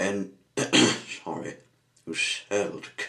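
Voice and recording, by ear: A natural voice reading aloud.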